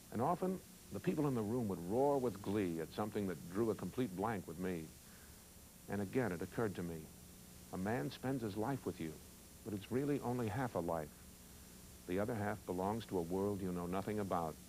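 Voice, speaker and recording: A man's fairly low-pitched, dark and mellow voice at a fairly quick pace, with lively intonation. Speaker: actor. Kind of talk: monologue reading of a newspaper column, aired as a television interstitial. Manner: reflective, measured, sincere.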